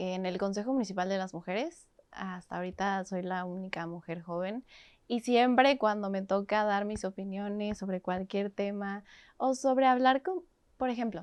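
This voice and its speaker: This is an ordinary speaking voice. Its pitch varies in an ordinary way. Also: woman, medium pitch for a woman, moderate pace. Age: 20s. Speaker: activist. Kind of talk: interview.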